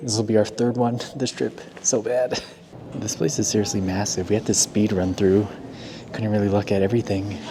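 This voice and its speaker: Over noticeable background noise, a man with a fairly low pitch speaks at a moderate pace with fairly even intonation and long, frequent pauses. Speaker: YouTube reaction vlogger. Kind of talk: travel vlog. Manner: casual.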